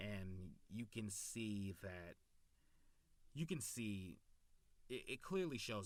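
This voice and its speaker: A man speaks at a very slow pace. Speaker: YouTube anime reviewer. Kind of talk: casual video review. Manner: halting, stumbles over words; enthusiastic.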